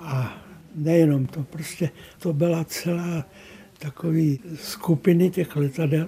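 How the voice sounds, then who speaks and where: A man speaks very slowly, his fairly high voice held to a fairly even intonation. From northern Bohemia, near Teplice. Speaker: painter. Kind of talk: interview reminiscence.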